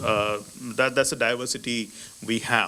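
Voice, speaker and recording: In an Indian accent, a man speaks at a moderate pace. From India, Maharashtra. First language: Marathi. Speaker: ambassador. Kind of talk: lecture. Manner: halting.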